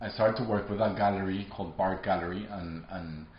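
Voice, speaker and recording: In a Spanish accent, a man with a very deep, low voice speaks in a flat monotone, sounding somewhat breathy, with light background noise and audible room echo. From Colombia. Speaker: artist. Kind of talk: interview monologue. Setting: artist studio. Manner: halting. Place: studio.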